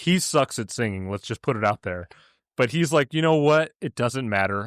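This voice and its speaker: On a very clean recording with a silent background, a man talks at a fairly quick pace. The sound is dry and close, with no echo. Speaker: podcast guest, film podcaster. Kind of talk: casual chat.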